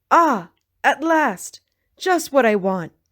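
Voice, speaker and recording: High-pitched and swinging very widely in pitch, a woman performs a put-on character voice. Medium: read story.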